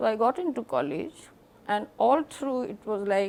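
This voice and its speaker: A woman with vocal fry and very wide pitch swings, at a moderate pace. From India. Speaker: painter. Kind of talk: interview answer.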